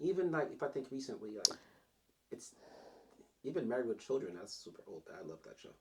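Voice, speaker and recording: Mumbling at a fairly quick pace, a man leaves long, frequent pauses, and his loudness swings widely. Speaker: podcast co-host. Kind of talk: casual chat.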